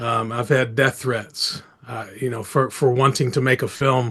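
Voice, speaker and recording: A man talks with an American accent at a fairly slow pace. His intonation is monotone and flat. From United States. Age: 60s. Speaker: filmmaker and activist. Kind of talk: interview.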